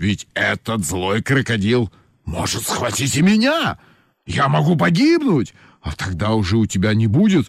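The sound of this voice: Someone reads aloud in an unforced voice.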